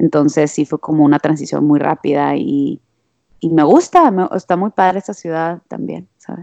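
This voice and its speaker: A woman talks at a moderate pace. Her voice sounds close and dry, without any echo. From Monterrey, Mexico. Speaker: musician. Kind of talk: casual chat.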